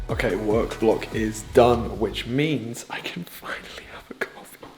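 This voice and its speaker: The speaker is a man with a British accent. Noticeable background noise sits behind him. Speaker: fitness and lifestyle vlogger. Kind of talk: casual vlog narration. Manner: animated; quiet at times to not wake housemate.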